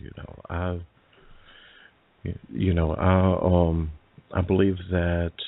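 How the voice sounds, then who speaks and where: Here is a man with a very deep, low voice. He speaks with an Alabama accent. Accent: Southern US (Alabama). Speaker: paranormal radio show host. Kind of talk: interview. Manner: halting, many fillers and repetitions.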